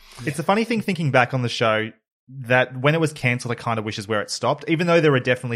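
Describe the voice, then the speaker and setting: With ordinary pitch variation, a man speaks against a quiet background. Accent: Australian. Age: 30s. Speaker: podcast host. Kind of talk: casual chat.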